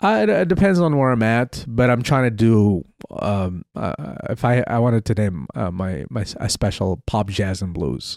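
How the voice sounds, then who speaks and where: A man with an ordinary speaking voice talks at a moderate pace and a fairly low pitch. The recording is very clean, with a silent background and a dry, close sound with no echo. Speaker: comedian. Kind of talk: casual chat. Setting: studio.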